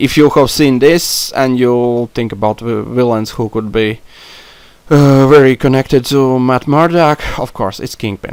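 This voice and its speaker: A man's medium-pitched voice with a non-native accent, ordinary pitch variation and a fairly slow pace. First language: not English. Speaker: YouTuber discussing comic book films. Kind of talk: solo podcast monologue. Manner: halting, many fillers. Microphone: non-professional mic, poor sound.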